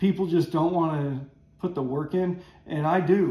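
A man talks at a high pitch. Room echo is audible. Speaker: woodworking hobbyist host. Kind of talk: tutorial. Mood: relaxed, enthusiastic. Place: workshop. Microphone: camera far.

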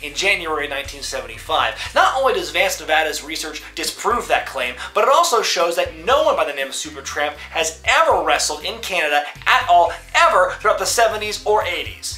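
Faint music sits in the background as a man talks at a moderate pace. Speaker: wrestling show host. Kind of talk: commentary. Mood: mocking, indignant. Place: home room.

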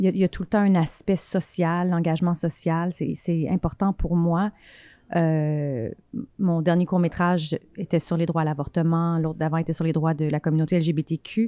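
A woman with a fairly low voice, fairly even intonation, very even loudness and a moderate pace, in a dry sound with no echo. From Quebec. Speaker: film director; guest. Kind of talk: interview. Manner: halting, many fillers and repetitions. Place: home room. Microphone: handheld.

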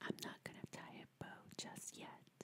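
A woman's whisper, gentle in tone, at a fairly slow pace. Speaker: ASMR creator. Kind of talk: ASMR whisper video. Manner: whispered, gentle, soft-spoken. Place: home room. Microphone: studio mic.

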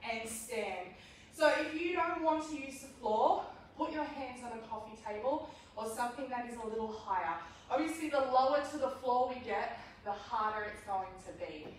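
In a room with strong echo and light background noise, a woman speaks at a high pitch. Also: moderate pace. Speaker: fitness instructor. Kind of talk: workout class instruction. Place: gym. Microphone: camera far.

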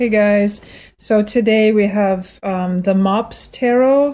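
The woman's pace is very slow. She keeps a fairly even intonation. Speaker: tarot reader showing a deck. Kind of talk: casual flip-through review. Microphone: phone near.

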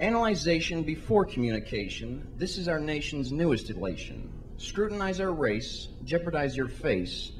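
Faint music plays in the background while a man talks at a moderate pace. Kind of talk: spoken word poetry performance. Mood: wry, satirical. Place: stage. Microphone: handheld.

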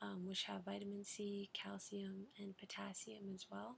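Soft-spoken and somewhat breathy, a woman talks in a gentle tone with fairly even intonation over light background noise. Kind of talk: role-play consultation, advice. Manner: soft-spoken, gentle ASMR voice. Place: home room. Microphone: webcam.

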